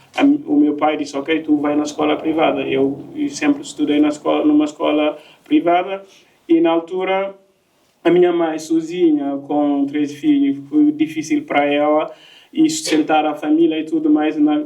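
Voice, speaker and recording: A man talks in a French accent. His pace is moderate. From Guinea (Conakry). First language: French (speaking Portuguese). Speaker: migrant sharing his story, project worker. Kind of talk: personal testimony in panel talk. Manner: halting, many fillers and repetitions.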